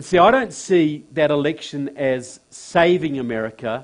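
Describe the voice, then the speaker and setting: With a New Zealand accent, a man speaks at a fairly slow pace and a fairly high pitch with ordinary pitch variation, over a quiet background. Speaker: political speaker. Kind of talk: public talk. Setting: stage with audience in a church.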